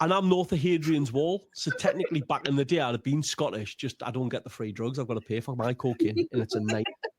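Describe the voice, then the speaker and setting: A man speaks very fast in a Geordie accent, his pitch fairly high and his intonation lively. The recording is dry and close with no echo. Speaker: stand-up comedian. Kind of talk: casual chat. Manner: animated.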